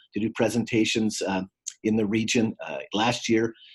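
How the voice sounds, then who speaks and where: This man has an ordinary speaking voice, medium in pitch, at a moderate pace. The recording is very clean, with a silent background. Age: 60s. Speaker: former state legislator and community trainer. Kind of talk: guest lecture. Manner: frequent fillers, uh and um.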